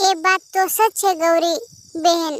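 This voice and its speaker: A woman performs a cartoonish character voice at an extremely high pitch, keeping her intonation fairly even. The sound is dry and close, with no echo. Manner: soft, polite.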